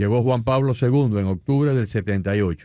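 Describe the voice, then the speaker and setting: A man's normal speaking voice, fairly quick and with lively intonation, against a quiet background. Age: 60s. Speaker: radio host. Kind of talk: radio interview.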